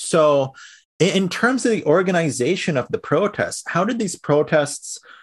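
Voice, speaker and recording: A man with an American accent, somewhat breathy, at a moderate pace against a quiet background. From Sri Lankan-born, raised in the US. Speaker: podcast host. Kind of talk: interview.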